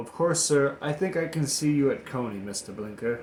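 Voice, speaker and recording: A man does a strained, put-on character voice, fairly high pitched with lively intonation. He keeps a moderate pace. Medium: read story. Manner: obsequious, restrained.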